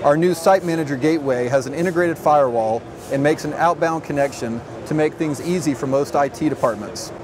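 A man speaks at a fairly high pitch and a fairly quick pace, with few pauses and ordinary pitch variation. Clear background noise runs underneath.

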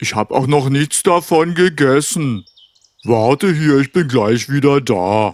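A man's cartoonish character voice, fairly high-pitched, at a fairly slow pace. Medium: puppet. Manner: pleading, then grateful.

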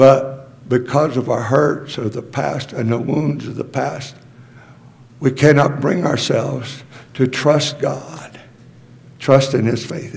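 Delivered at a very slow pace with fairly even intonation, the speech carries audible room echo and noticeable background noise. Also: man, medium pitch for a man. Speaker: pastor. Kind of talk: sermon.

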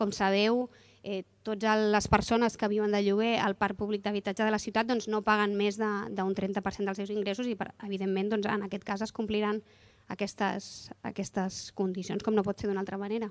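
The speaker keeps a moderate pace. The intonation is monotone and flat. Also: woman, medium pitch for a woman. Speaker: city council official. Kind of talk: press conference. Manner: halting. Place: street. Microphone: handheld.

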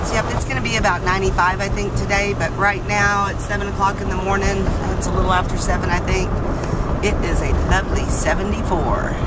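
Against loud background noise, a woman speaks at a moderate pace in a dry sound with no echo. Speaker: van dweller vlogger. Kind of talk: casual vlog chat. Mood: cheerful, upbeat. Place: car. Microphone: phone near.

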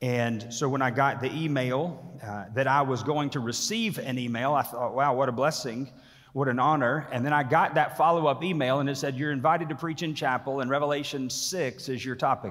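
A man speaks with hardly any pauses and ordinary pitch variation. The background is quiet. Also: fairly quick pace. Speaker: pastor preaching. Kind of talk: sermon. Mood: warm, lightly humorous opening. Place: hall. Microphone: podium.

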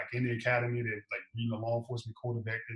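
A man speaks with an American accent. Room echo can be heard around him. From Chicago. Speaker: police officer; guest. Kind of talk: casual interview. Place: home room. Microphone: video call.

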